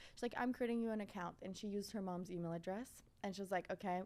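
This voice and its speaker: A woman speaks very fast at a medium pitch. Her intonation stays fairly even. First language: French. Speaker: fashion content creator. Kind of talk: podcast interview. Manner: casual, filler-heavy.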